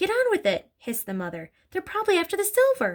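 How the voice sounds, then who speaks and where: A put-on character voice, squeaky and hissing, at a very fast pace. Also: woman. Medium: read story.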